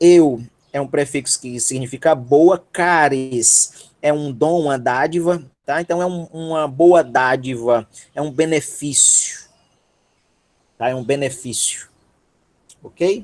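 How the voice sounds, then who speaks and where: A man with a Ceará accent at a very slow pace, with long, frequent pauses and ordinary pitch variation. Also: fairly high pitch for a man. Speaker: teacher. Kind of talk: online lecture. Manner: animated.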